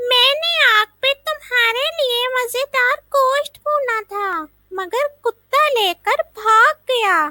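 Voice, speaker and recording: In a put-on character voice pitched extremely high, a woman speaks at a very slow pace with lively intonation. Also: dry, close sound with no echo. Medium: read story. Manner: childishly naive.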